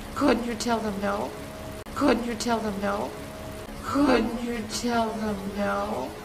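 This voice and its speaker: Over loud background noise, a woman speaks at a very slow pace in a fairly high, put-on character voice. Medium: voice reel.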